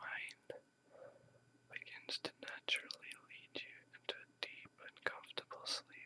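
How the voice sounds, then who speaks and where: Someone whispers at a very slow pace. The tone is soothing. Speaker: ASMR whisper meditation guide. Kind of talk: guided meditation / sleep hypnosis script. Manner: whispered, slow, soothing.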